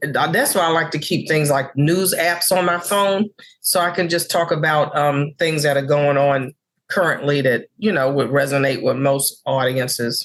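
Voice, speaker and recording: A woman speaks at a very deep, low pitch and a moderate pace. Her loudness stays very even, with ordinary pitch variation. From New York City (Harlem). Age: 60s. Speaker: comedian. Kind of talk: interview chat.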